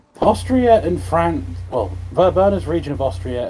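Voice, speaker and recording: Music behind moderately paced talking. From northern England. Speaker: streamer's gaming partner. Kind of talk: casual gaming stream chat.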